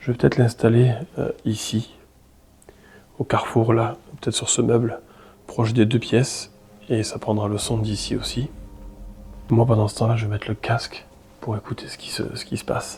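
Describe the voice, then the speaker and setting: A man talks in a monotone, flat intonation with long, frequent pauses and big swings in loudness. Music plays in the background. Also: medium pitch for a man, moderate pace. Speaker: paranormal investigator youtuber. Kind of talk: solo paranormal vlog narration. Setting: alone in abandoned house at night. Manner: halting, repeats words.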